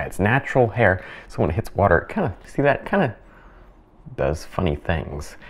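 This is a man's voice. The pitch is fairly low. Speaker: painting instructor. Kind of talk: tutorial. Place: studio.

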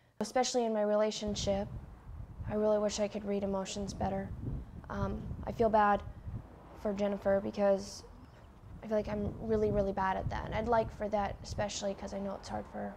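A woman speaks at a fairly quick pace. Light background noise can be heard. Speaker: interviewee. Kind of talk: interview answer. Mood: calm, reflective. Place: home room. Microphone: lapel.

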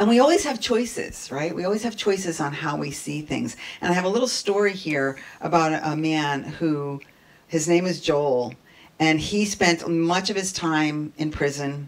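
With lively intonation, a woman speaks at a moderate pace and a fairly low pitch. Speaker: minister giving a talk. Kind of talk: sermon. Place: church.

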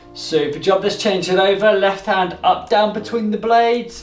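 A man with a high pitch speaks at a moderate pace and fairly even intonation, with audible room echo and faint music in the background. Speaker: fitness instructor. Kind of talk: exercise class instruction. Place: home room. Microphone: camera far.

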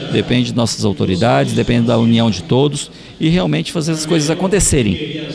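A man's pitch swings very widely. Noticeable noise sits in the background. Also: dry sound with no echo. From Ariquemes region, Rondônia, Brazil. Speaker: state legislator. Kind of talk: interview. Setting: public hearing venue. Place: hall. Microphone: handheld.

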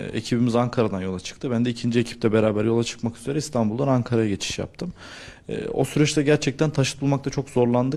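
A man's medium-pitched voice, dark and mellow in tone, with ordinary pitch variation at a very fast pace. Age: 20s. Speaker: search and rescue trainer. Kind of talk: interview testimony. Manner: hesitant, with filler sounds.

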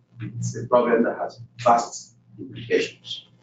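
A man speaks with audible room echo. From West Africa. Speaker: research director; presenter. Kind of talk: closing remarks. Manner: halting. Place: meeting room. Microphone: camera far.

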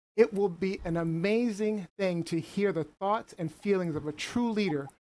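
A man speaks with ordinary pitch variation. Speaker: show host. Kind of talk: show introduction. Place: home room.

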